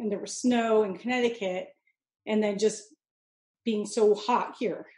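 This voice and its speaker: A woman with a Californian accent speaks in a dark, mellow tone. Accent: Californian American. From Mojave Desert, southern California. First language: Italian (Sicilian and Neapolitan dialects). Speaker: chef and business owner. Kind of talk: interview conversation.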